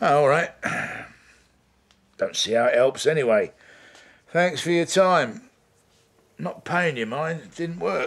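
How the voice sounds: Putting on a character voice, a man talks at a slow pace with vocal fry, lively intonation and long, frequent pauses. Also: fairly high pitch for a man.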